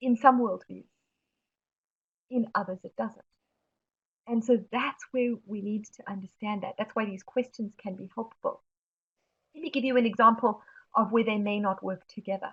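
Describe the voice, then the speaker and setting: In a South African accent, a woman with a fairly high pitch speaks with fairly even intonation, long and frequent pauses, and big swings in loudness. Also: moderate pace. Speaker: webinar presenter on mental health. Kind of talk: webinar presentation answering questions. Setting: online webinar.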